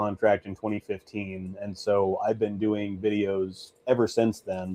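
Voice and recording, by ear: His tone comes across dark and mellow. A man talks with a fairly low pitch.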